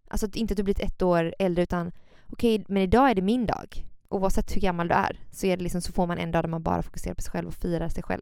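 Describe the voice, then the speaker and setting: Very clean recording, silent background. A woman with a medium pitch talks at a very fast pace. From Gothenburg, Sweden. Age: 20s. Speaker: podcast co-host, yoga instructor. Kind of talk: casual chat. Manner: animated.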